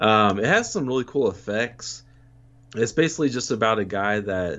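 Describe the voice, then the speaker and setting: With a plain, everyday voice, a man of fairly low pitch speaks at a moderate pace with ordinary pitch variation. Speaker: returning podcast guest, horror movie fan. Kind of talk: casual chat.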